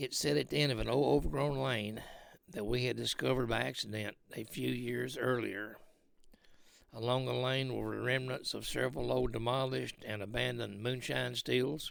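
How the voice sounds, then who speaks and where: Using a put-on character voice, a man speaks raspily at a fairly low pitch and a moderate pace. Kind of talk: folksy spooky personal story. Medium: read story. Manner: halting, with frequent fillers.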